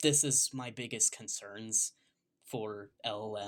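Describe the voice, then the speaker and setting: This man talks at a fairly slow pace. His pitch sits in the medium range. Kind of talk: casual rant to camera. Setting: background noise. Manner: stuttering.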